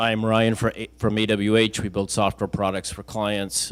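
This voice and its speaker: In a very clean recording with a silent background, the speaking pace is moderate. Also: man. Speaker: event host and interviewer. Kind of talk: live interview on stage.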